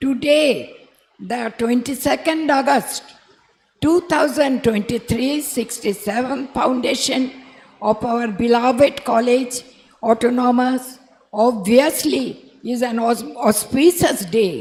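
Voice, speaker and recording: Someone with a Bengali accent speaks at a fairly slow pace, leaving long, frequent pauses. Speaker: college principal. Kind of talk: formal convocation speech. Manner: quiet, can't speak loudly.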